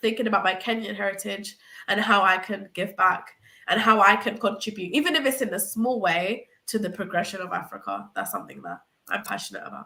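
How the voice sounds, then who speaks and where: Fairly quick pace from a woman, medium pitch, fairly even intonation. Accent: British. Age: young adult, 18. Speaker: university student guest. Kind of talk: interview answer.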